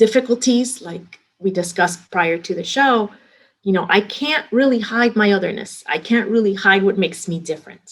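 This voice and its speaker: In a Miami accent, a woman talks at a moderate pace with a medium pitch and ordinary pitch variation. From Miami, Florida (Hialeah), Cuban-American community. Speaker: restaurant company executive. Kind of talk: interview. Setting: podcast interview.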